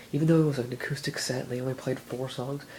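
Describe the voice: A man at a fast pace, medium in pitch, with fairly even intonation and a slightly mellow tone.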